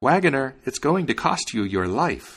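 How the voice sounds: A man puts on a character voice with big pitch swings, a fairly bright tone, and a slightly husky edge. The recording is very clean, with a silent background. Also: medium pitch for a man, moderate pace.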